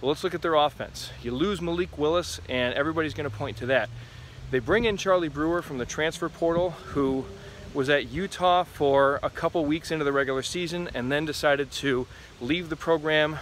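A man talks at a fairly quick pace with ordinary pitch variation. The sound is dry with no echo, with light background noise. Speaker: sports commentator. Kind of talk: commentary. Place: forest. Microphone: phone near.

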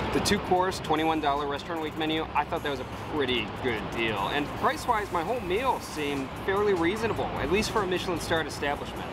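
Over music in the background, a man talks at a very fast pace with hardly any pauses. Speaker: food vlogger. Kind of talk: casual vlog review. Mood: mildly frustrated but positive. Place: street. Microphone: phone near.

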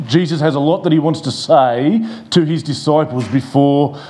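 The pace is moderate. This man's pitch variation is ordinary. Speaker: pastor. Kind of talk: sermon. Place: church. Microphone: lapel.

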